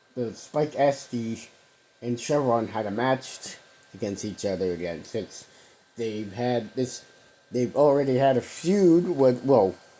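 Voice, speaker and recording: Over noticeable background noise, a man with a medium pitch talks at a fairly slow pace with lively intonation. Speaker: wrestling podcast host. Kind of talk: solo podcast commentary. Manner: halting, many fillers.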